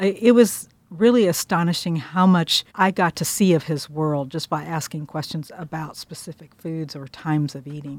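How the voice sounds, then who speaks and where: Recorded dry and close with no echo, a woman speaks at a moderate pace in a fairly low pitch with ordinary pitch variation. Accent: Midwestern American. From Kansas. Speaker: food writer. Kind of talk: interview.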